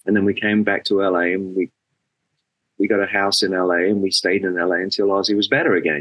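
A man's fairly low voice with an English accent, set against a quiet background. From England. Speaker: rock bass player; interview guest. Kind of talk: interview. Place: home room. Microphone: webcam.

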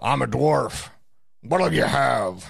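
A man puts on a character voice that is raspy and gruff. His pitch is very deep and low. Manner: curt, ornery.

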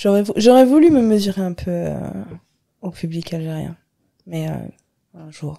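A woman speaks with a dark, mellow tone at medium pitch and ordinary pitch variation. Her pace is fairly slow, with long, frequent pauses. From Algeria, Algiers. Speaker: stand-up comedian. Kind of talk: casual chat.

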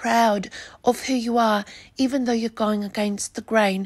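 High pitch and fairly level intonation in a woman's speech. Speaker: video blogger. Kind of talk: angry rant. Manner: indignant, accusatory; forceful, opinionated.

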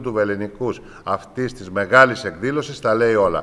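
Delivered at a fairly slow pace, the voice shows ordinary pitch variation. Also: man. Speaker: regional government official. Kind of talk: press statement. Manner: formal. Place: office. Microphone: handheld.

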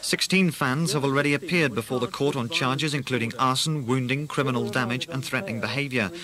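This man speaks at a very fast pace with ordinary pitch variation. Light background noise is present. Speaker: radio newsreader. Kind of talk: news bulletin reading.

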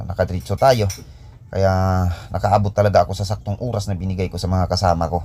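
Very deep and low in pitch, a man speaks with vocal fry and a dark, mellow tone. His pace is very fast, with long, frequent pauses and ordinary pitch variation. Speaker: construction contractor and vlogger. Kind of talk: casual vlog narration.

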